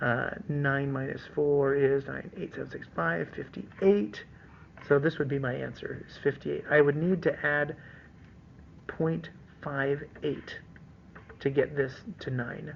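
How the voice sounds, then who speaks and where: Fairly slow delivery broken by long, frequent pauses. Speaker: teacher. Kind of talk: tutorial.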